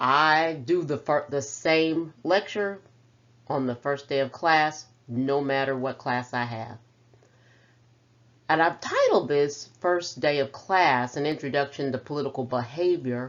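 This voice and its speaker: A woman talks with a Texan accent at a very deep, low pitch. Her pace is fairly slow, with ordinary pitch variation. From Central Texas, small town. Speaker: professor. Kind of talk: lecture.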